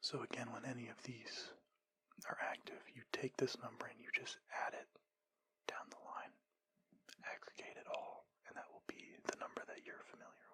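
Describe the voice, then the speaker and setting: A man whispers at a moderate pace, leaving long, frequent pauses. His loudness swings widely. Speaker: ASMR creator giving a lecture. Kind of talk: ASMR lecture.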